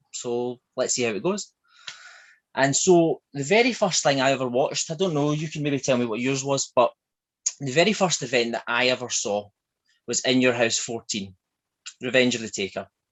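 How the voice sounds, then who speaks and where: With a strong Glaswegian accent, a man speaks at a moderate pace and medium pitch, using lively intonation and long, frequent pauses. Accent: thick Glaswegian. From Scotland, Glasgow. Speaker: shop owner. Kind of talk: interview.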